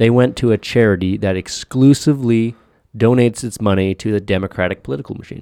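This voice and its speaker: A fairly quick pace with ordinary pitch variation, in a very clean recording with a silent background. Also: man. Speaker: podcast host. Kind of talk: casual banter chat. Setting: studio. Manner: joking, profane.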